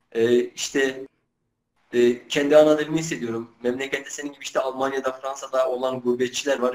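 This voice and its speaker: Here a man talks at a fairly quick pace. His voice sits at a medium pitch. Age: 20s. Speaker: Kurdish-language YouTuber doing street interviews. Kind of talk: interview answers. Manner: hesitant, many filler sounds.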